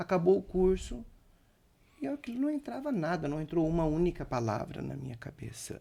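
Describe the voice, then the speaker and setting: With a high pitch and a dark, mellow tone, a man speaks at a moderate pace with very wide pitch swings. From Brazil, Santa Catarina (Sombrio), rural. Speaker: chef and restaurant owner. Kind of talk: podcast interview. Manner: halting, self-correcting.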